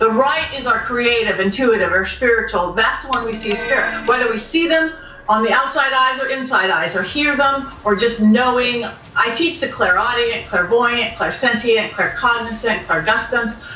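Speaking at a moderate pace with hardly any pauses, a woman with an American accent has a high pitch and ordinary pitch variation, with audible room echo and light background noise. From Southern California. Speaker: psychic medium. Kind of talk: interview answer.

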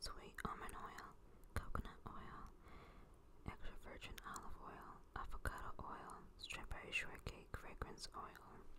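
A woman is whispering. Her voice stays at a whisper throughout. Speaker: ASMR creator. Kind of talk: ASMR product review. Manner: soft-spoken. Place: home room. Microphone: phone near.

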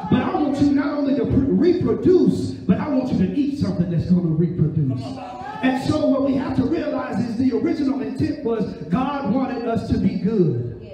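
Over light background noise and audible room echo, a man talks at a moderate pace with an extremely high pitch, an animated tone and lively intonation. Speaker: preacher. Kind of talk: sermon with call-and-response. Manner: animated, urgent, exhorting the listeners; repetitive, rhythmic preaching cadence. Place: church.

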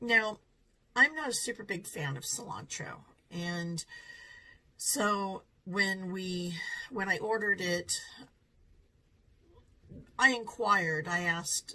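Very slowly and with long, frequent pauses, a woman speaks with lively intonation and big swings in loudness. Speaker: food reviewer vlogger. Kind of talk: casual restaurant review vlog. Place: home room.

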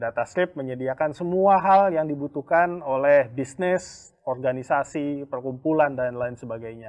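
There is an ordinary speaking voice from a man, fairly high in pitch, moving at a moderate pace with ordinary pitch variation over a quiet background. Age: 40s. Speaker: company executive and mentor. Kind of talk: casual online talk show. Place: studio. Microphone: lapel.

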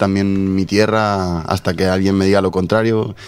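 This man's voice sits fairly low in pitch. The sound is dry, with no echo. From Spain. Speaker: journalist. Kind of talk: radio interview. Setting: radio studio. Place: studio. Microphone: studio mic.

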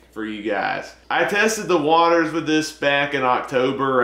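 Room echo is audible as a man speaks fairly slowly with ordinary pitch variation. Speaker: movie vlogger. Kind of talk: casual vlog chat. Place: home room. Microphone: camera far.

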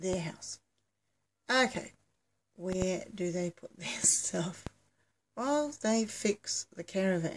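The speaker talks at a very slow pace, somewhat breathy, with lively intonation and big swings in loudness over light background noise. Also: woman. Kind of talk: casual vlog chat. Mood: amused, laughing at own story. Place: home room. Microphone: phone near.

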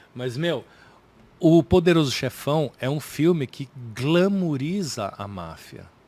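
In a dry sound with no echo, a man with a dark, mellow tone and fairly high pitch speaks at a very slow pace, with lively intonation and big swings in loudness. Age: 40s. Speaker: comedian. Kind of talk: casual chat. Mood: thoughtful, relaxed. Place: studio. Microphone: studio mic.

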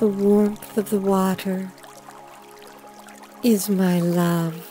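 Music plays in the background. A woman speaks at a very slow pace in monotone, flat intonation. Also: medium pitch for a woman. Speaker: hypnotist. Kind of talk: hypnosis induction. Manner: slow, soft-spoken.

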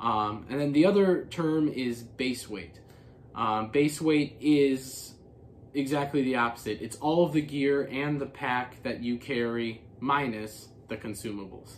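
A man talks at a fairly slow pace with ordinary pitch variation over light background noise. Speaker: hiker vlogger. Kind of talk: casual explainer vlog. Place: home room.

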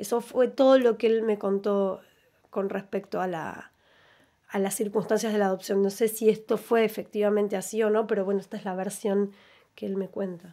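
A dark, mellow tone, monotone and flat, against a quiet background. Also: woman, moderate pace. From Argentina. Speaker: grandchild of disappeared, rights campaign witness; interview guest. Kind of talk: radio interview testimony. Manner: halting. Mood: reflective, personal memories. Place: studio. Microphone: studio mic.

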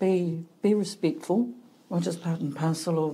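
Somewhat breathy and dark, mellow in tone, a woman speaks at a moderate pace with fairly low pitch and ordinary pitch variation. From New Zealand, Hawke's Bay (Heretaunga). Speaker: clinical psychologist. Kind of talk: casual interview.

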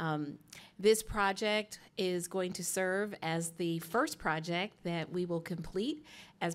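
A woman talks in a normal speaking voice. Her intonation stays fairly even. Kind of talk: opening remarks at public meeting. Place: hall. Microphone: podium.

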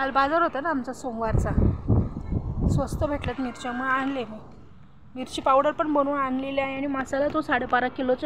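Noticeable background noise sits behind a woman's voice. Her pitch is high and her intonation monotone and flat. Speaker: home cook vlogger. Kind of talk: casual vlog chat. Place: open country. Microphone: phone near.

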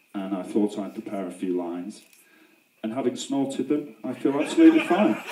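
A man with a British accent talks at a fairly quick pace. There is audible room echo and light background noise. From UK. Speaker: best man. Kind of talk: wedding speech. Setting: wedding reception. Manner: humorous, hesitant. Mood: joking, playful. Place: tent.

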